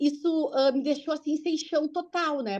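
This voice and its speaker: Against a quiet background, a high-pitched woman speaks at a fairly quick pace. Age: 40s. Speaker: cancer patient sharing her story. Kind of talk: testimony. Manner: fast; animated.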